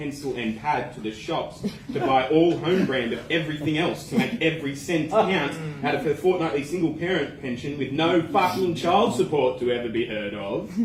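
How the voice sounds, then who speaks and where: The speaker has an Australian accent and lively intonation at a moderate pace. Noticeable background noise runs underneath. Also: man, fairly high pitch for a man. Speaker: slam poet. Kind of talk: slam poetry performance. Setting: live open mic.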